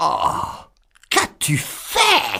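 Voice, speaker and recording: A man speaks here. He puts on a character voice. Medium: read story. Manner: harsh, scolding.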